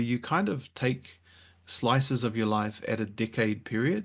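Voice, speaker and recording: A man talks in a normal speaking voice at medium pitch. His intonation stays fairly even against a quiet background. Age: 40s. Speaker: author. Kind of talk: casual chat.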